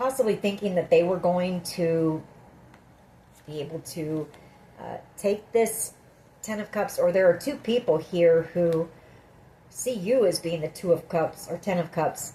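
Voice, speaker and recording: Using a raspy, put-on character voice, a woman talks at a moderate pace and fairly low pitch, with ordinary pitch variation and long, frequent pauses. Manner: slightly flustered.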